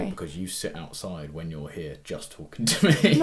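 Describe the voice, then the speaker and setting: A man's loudness swings widely as he talks at a moderate pace, with noticeable background noise around him. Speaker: podcast co-host.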